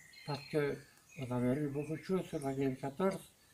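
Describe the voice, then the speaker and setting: The voice has a dark, mellow tone and sounds somewhat breathy. Its pitch varies in an ordinary way. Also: man. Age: 80s+. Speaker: war veteran. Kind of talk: interview answer.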